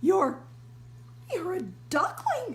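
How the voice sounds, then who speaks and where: Against clear background noise, a woman speaks in a rumbling, put-on character voice. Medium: read story. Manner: flustered, grumbling.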